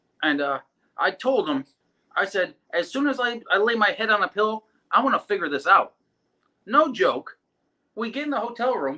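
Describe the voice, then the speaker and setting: A man with an American accent speaks in a raised, projected voice, high in pitch and bright, sharp in tone, his delivery animated, with very wide pitch swings and long, frequent pauses. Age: 30s. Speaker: drag racer. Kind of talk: casual chat. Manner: fast.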